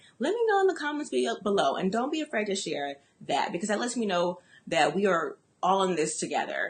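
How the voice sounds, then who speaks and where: A woman's somewhat breathy, medium-pitched voice. Her tone is animated, with very wide pitch swings. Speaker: business coach. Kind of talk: motivational talk. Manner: fast.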